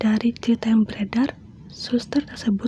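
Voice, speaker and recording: The speaker whispers in a soft-spoken way. Noticeable background noise is present. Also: woman. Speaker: ASMR creator. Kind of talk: ASMR horror story reading to a close listener. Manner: soft-spoken, whispering, intimate.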